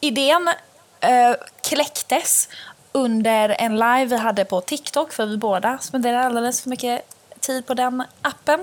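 This woman's high-pitched voice shows ordinary pitch variation, and her pace is fairly slow. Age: 20s. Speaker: podcast host. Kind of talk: casual chat. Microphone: cheap earphone mic.

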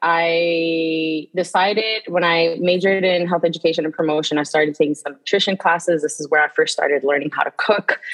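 A plain, everyday voice from a woman with an American accent, fairly low in pitch, with fairly even intonation. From New York City, the Bronx. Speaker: nutrition educator. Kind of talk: casual interview conversation.

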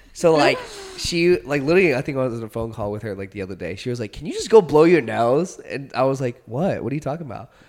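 A man's fairly high voice at a very fast pace, with big swings in loudness over noticeable background noise. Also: lively intonation. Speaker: podcast co-host. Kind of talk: casual chat. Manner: fast talker.

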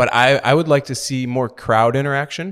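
With an American accent, a man talks at a fairly high pitch and with ordinary pitch variation, an unremarkable speaking voice. The recording is very clean, with a silent background. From Milwaukee, Wisconsin. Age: 30s. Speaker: professional foosball player. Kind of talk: casual interview. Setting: at a tournament.

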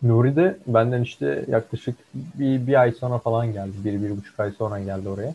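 A man at a medium pitch with ordinary variation, somewhat breathy in a dark, mellow tone, at a moderate pace. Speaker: co-host, computer engineering student. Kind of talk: casual chat.

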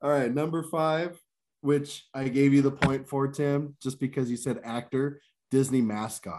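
On a very clean recording with a silent background, a man speaks in a normal speaking voice, fairly high in pitch, at a fairly slow pace with fairly even intonation. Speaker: game show host. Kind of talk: game show host reading survey questions and ruling on answers.

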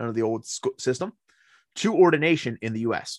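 A man with an American accent, a normal speaking voice and lively intonation at a fairly quick pace. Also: dry, close sound with no echo. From rural Pennsylvania, Cambria County (Appalachians). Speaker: Benedictine monk and priest. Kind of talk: casual chat. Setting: remote call.

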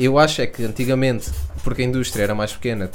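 A man speaks with a European Portuguese accent at a medium pitch with ordinary pitch variation. Room echo is audible. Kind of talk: casual chat.

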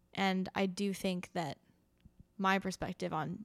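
There is vocal fry in this woman's voice. Her pitch is fairly low. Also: very clean recording, silent background. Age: 20s. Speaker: podcast co-host and newsletter creator. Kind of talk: casual chat.

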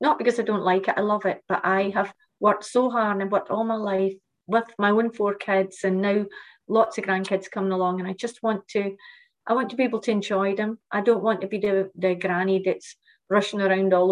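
A woman talks at a fairly quick pace in a Shetland accent. Her intonation is monotone and flat. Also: medium pitch for a woman. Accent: Shetland Scottish. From Shetland, Scotland. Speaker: fitness lecturer and business founder. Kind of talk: interview.

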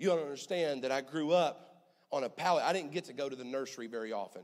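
A man's ordinary speaking voice, fairly quick, with lively intonation. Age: 20s. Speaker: pastor. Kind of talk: sermon. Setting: church.

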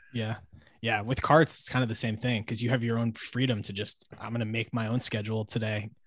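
Somewhat breathy male voice, medium pitch, monotone and flat, at a fairly quick pace. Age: 30s. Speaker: podcast host. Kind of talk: casual interview chat. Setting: video call.

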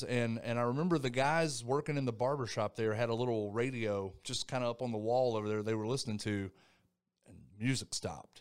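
A man with an unremarkable speaking voice and an American accent talks at medium pitch and a fairly quick pace. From North Carolina, Thomasville. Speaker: retired army soldier. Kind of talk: interview.

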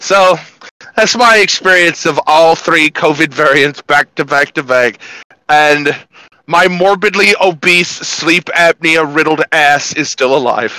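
A man with an ordinary speaking voice talks at a fairly slow pace, at a fairly high pitch with ordinary variation. His loudness stays very even, and the sound is dry and close, with no echo. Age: 30s. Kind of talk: casual chat.

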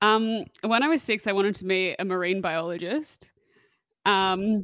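Dry and close with no echo, a woman with an Australian accent speaks in fairly even intonation. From Western Australia, Perth. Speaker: hospitality charity founder and podcast host, former chef. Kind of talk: casual interview chat. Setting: home recording with street noise outside.

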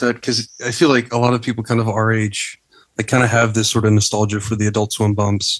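An unremarkable speaking voice from a man at medium pitch and a fairly quick pace. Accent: American. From Texas, US. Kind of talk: casual interview chat.

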